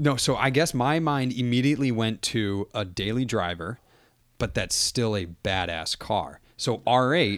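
In a plain, everyday voice with lively intonation, the speaker keeps a moderate pace on a very clean recording with a silent background. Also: man. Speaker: podcaster. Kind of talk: casual chat.

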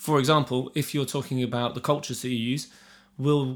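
Speaking at a very fast pace, a man with a medium pitch keeps a fairly even intonation on a very clean recording with a silent background. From England, rural Shropshire. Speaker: brewer. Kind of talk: casual interview chat.

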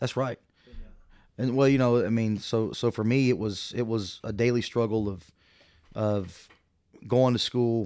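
A man with a Texan accent at medium pitch, dark and mellow in tone, fairly even in intonation, at a fairly slow pace with long, frequent pauses, on a very clean recording with a silent background. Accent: Texan American English. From small-town Texas. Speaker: church minister. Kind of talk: interview.

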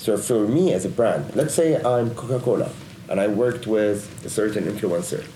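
A man with an Arabic accent talks with lively intonation. Audible room echo and noticeable background noise are present. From Lebanon. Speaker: digital agency executive. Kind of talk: interview. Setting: studio.

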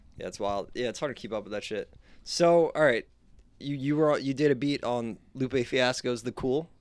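A man talks at a moderate pace in an unremarkable speaking voice. His pitch is medium, with ordinary variation. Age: 20s. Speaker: podcast host, musician. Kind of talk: casual chat.

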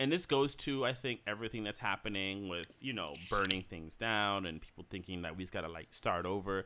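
A man talks at a fairly quick pace with hardly any pauses, in a fairly low pitch. It is an ordinary speaking voice with ordinary pitch variation. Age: 40s. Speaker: podcast co-host. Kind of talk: casual chat. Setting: at home.

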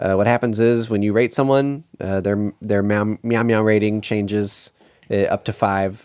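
An ordinary speaking voice from a man with a fairly low pitch. He keeps a moderate pace and fairly even intonation. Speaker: podcast co-host. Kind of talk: casual chat, episode-recap podcast.

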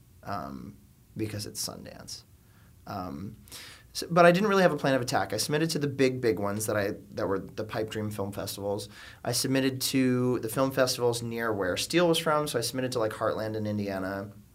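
A man with an American accent, medium pitch, lively intonation and a fairly quick pace, plus audible room echo. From South Florida, suburbs of Miami. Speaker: filmmaker. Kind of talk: casual interview. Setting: studio.

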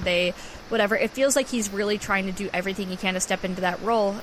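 Amid noticeable background noise, a woman in an American accent talks at a very fast pace. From Wisconsin, Green Bay. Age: 20s. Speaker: sports podcast co-host. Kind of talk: casual chat.

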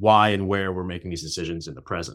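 Very clean recording with a silent background: a man with a very deep, low pitch and an American accent, at a very fast pace with fairly even intonation. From New York City. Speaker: novelist. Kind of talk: interview.

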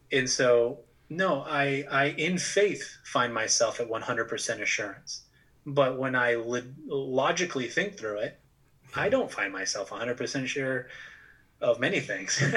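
In an American accent, the speaker goes at a very slow pace over noticeable background noise. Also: man, fairly high pitch for a man, ordinary pitch variation. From Massachusetts, New England. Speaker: pastor and author. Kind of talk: casual interview. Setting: remote recording.

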